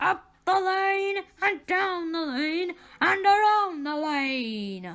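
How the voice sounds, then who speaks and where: This put-on character voice is extremely high in pitch and growling. The pace is very slow. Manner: nice, polite, friendly.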